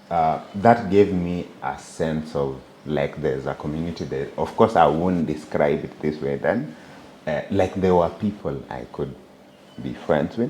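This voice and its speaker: Noticeable background noise sits behind a man with a very deep, low pitch. He speaks at a fairly slow pace with ordinary pitch variation. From Kenya, Bomet (Kalenjin tea region). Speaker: software engineer. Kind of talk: interview conversation.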